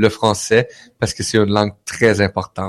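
In a Quebec accent, a man speaks at a moderate pace and fairly low pitch with monotone, flat intonation, in a dry, close sound with no echo. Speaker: radio founder and guest. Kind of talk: casual chat. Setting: live online broadcast. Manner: warm, grateful.

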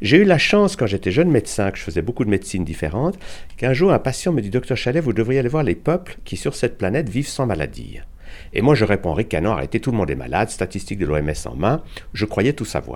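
A man at medium pitch with vocal fry, very wide pitch swings, and a very fast pace. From Switzerland, Geneva. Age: 70s. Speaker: physician and alternative medicine author. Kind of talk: interview.

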